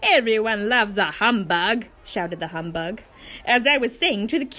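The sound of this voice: Heard here is an unforced reading voice.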